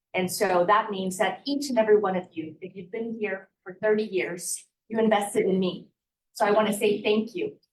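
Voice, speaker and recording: A woman with a Spanish accent and a medium pitch talks at a moderate pace in a somewhat breathy voice, her intonation fairly even and her loudness swinging widely. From US Midwest (Wichita, Kansas); born in Guatemala. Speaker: mayor, former local reporter. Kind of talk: public speech. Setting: community breakfast with audience.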